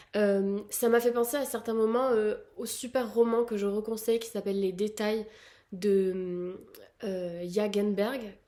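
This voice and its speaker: The woman's voice has a dark, mellow tone and a fairly high pitch. She speaks very slowly with fairly even intonation. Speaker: book youtuber. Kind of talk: casual vlog. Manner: hesitant with fillers.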